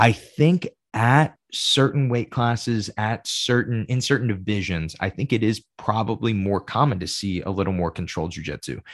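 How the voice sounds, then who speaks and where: A man with a normal speaking voice talks at a moderate pace, his fairly low pitch varying in an ordinary way. The recording is very clean, with a silent background. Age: 20s. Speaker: jiu-jitsu podcast host and instructor. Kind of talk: solo podcast monologue. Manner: casual, with frequent fillers.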